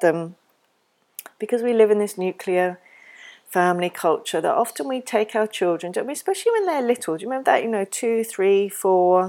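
Speaking with an English accent, a woman has a warm, dark, mellow tone and lively intonation. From England. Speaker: parenting educator podcaster. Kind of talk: educational talk. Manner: warm, reflective.

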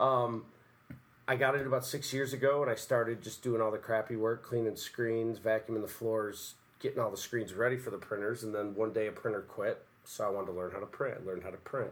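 A man with an American accent, medium pitch and fairly even intonation at a fairly quick pace, an unremarkable speaking voice. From US Northeast, Utica, New York. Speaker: musician and shirt maker. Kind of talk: casual chat. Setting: studio.

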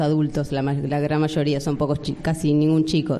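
A woman at a moderate pace. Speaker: tango dance group organizer. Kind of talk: interview. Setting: stage with audience.

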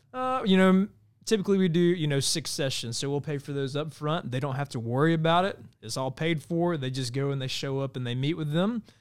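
With an American accent and a plain, everyday voice, a man talks at a fairly quick pace and a fairly high pitch with lively intonation on a very clean recording with a silent background. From Georgia (US). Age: 30s. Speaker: nonprofit mental health advocate, firefighter. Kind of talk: interview. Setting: studio.

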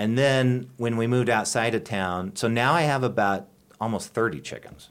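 An unremarkable speaking voice carries an American accent. It moves at a moderate pace with lively intonation. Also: man. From western Nebraska (Kimball), US Great Plains. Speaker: English professor and department chair. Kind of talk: casual interview chat.

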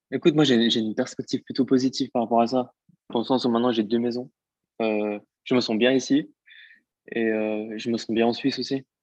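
Against a quiet background, a man at medium pitch talks in a flat monotone with long, frequent pauses, in a dry, close sound with no echo. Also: moderate pace. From French-speaking Switzerland, Vietnamese family. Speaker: singer and actor. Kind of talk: casual interview.

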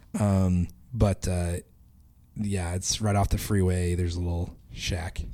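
A man's very deep, low voice, dark and mellow in tone, monotone and flat in intonation, at a fairly slow pace. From Idaho. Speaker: podcast co-host. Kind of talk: casual chat.

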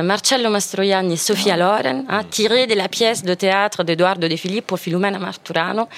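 A woman's medium-pitched voice in an Italian accent, with ordinary pitch variation, a moderate pace, hardly any pauses, very even loudness and noticeable background noise. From Italy. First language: Italian (speaking French). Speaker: radio panelist. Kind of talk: casual chat.

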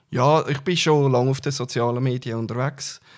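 A man speaks at a moderate pace and medium pitch with a slight Uri accent and fairly even intonation. The recording is very clean, with a silent background. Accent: Swiss German, Uri dialect, somewhat mild. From Switzerland, Uri (Altdorf). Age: 40s. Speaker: politician. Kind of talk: interview. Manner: hesitant, frequent fillers.

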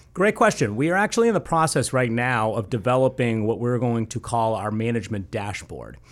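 A man with an American accent talks in a normal speaking voice at medium pitch with ordinary pitch variation. His pace is fairly quick, with hardly any pauses, on a very clean recording with a silent background. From Boston area, New England. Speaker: sales tech CEO. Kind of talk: radio interview.

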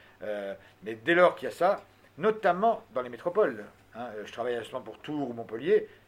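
With an animated tone, a man talks at a fairly quick pace. His pitch swings very widely. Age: old. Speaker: expert on ageing policy. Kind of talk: lecture.

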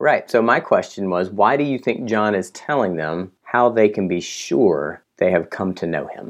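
A man with an unremarkable speaking voice talks at a moderate pace in a fairly low pitch, with lively intonation and hardly any pauses. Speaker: podcast host. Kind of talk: casual chat about scripture. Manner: joking, playful.

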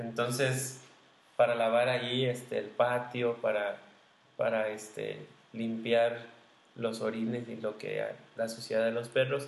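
Pausing long and often, a man with a medium pitch talks at a fairly slow pace in a monotone, flat intonation, with audible room echo. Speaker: podcast co-host, former seminarian. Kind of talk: casual chat.

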